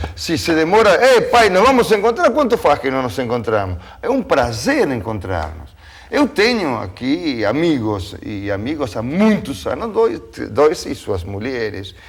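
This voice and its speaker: Noticeable background noise accompanies a man with a fairly high pitch. His pace is fairly slow and his pitch swings very widely. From Argentina (Tucumán). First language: Spanish (speaking Portuguese). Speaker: TV talk show host. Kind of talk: panel discussion. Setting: studio.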